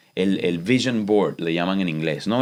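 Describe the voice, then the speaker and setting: A man with a Venezuelan accent talks at a very fast pace in an animated tone, recorded very cleanly against a silent background. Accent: Venezuelan accent, kept unadjusted. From Venezuela, Los Teques. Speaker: chef and TV host. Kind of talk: interview conversation.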